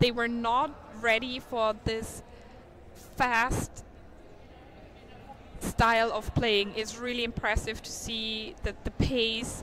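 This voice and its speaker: A woman with a non-native accent speaks in a fairly high voice. Her pace is very slow. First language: not English. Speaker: sports commentator. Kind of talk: live commentary. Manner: animated.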